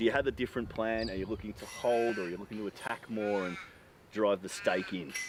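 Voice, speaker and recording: Over noticeable background noise, a man with an Australian accent talks very fast at a fairly low pitch with ordinary pitch variation. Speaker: field interviewer for disc golf coverage. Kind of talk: on-course interview.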